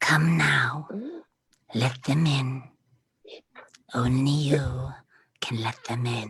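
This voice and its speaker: In a put-on character voice, someone whispers gravelly words at a very slow pace. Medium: stage play. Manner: menacing, intimate whisper.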